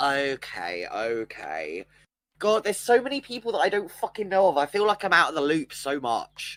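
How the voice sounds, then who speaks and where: The speaker has a British accent. The delivery moves at a moderate pace. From Britain. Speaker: stream co-host. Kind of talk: casual chat.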